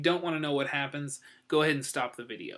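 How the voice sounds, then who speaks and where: This man has a fairly high, bright, sharp voice and a fairly quick pace. His intonation is fairly even, and the recording is very clean with a silent background. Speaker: comic book reviewer. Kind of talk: casual review vlog. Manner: hesitant, many fillers.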